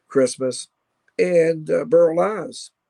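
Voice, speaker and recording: A man at a fairly slow pace, the sound dry and close with no echo. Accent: Kentucky. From Kentucky (Louisville). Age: 60s. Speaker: rock guitarist and radio host. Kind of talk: casual interview chat.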